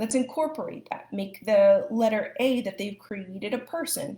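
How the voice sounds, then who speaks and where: Her voice has a dark, mellow tone and is somewhat breathy. The woman speaks at a moderate pace. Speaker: speech language pathologist. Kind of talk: live educational talk.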